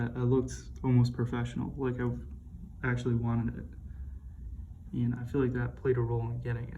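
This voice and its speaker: A soft-spoken man talks at a fairly quick pace. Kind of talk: soft-spoken ASMR watch review.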